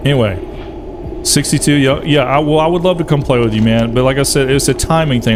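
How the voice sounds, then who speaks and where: A man with an American accent speaks with ordinary pitch variation, with noticeable background noise and audible room echo. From US South. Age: 40s. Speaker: gaming streamer. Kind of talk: casual chat. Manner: animated.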